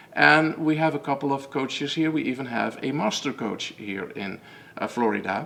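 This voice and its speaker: A man with a strong Dutch accent, medium pitch and vocal fry, at a moderate pace. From Netherlands. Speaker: method founder and coach. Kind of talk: webinar presentation. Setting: online webinar. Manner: halting, many fillers and repetitions.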